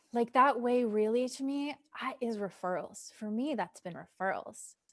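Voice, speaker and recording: In a quiet background, a woman speaks at a fairly slow pace with ordinary pitch variation. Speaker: somatic psychotherapist and business coach. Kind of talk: live group Q&A session. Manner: animated.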